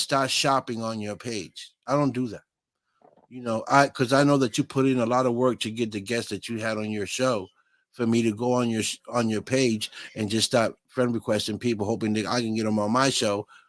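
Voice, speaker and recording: In a Boston accent, a man speaks at a moderate pace and medium pitch, with a dry, close sound and no echo. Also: ordinary pitch variation. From Massachusetts, US. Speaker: online talk show host. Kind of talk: casual chat.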